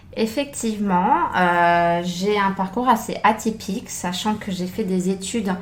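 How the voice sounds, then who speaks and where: A woman's medium-pitched voice, fairly slow and fairly even in intonation. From France. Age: 30s. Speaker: former private chef. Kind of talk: interview. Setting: podcast. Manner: hesitant, many fillers.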